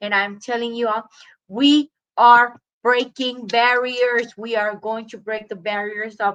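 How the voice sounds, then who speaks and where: A woman's fairly slow, monotone speech, flat in intonation and fairly high in pitch. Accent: Spanish. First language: Spanish. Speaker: recovery coach. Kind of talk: personal testimony.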